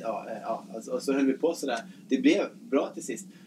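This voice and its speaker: A man is speaking with noticeable background noise. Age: 40s. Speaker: nurse. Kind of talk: casual chat. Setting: ship cabin. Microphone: poor sound quality.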